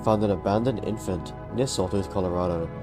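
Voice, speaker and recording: Music plays in the background as a man talks at a fairly low pitch with ordinary pitch variation. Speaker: gaming lore video creator. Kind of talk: casual explainer narration.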